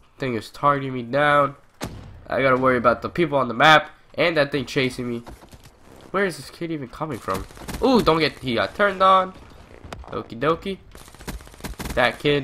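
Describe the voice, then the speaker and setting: Over noticeable background noise, a man with a fairly high pitch and ordinary pitch variation talks at a fairly quick pace, with long, frequent pauses. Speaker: gaming YouTuber. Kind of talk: casual gameplay commentary.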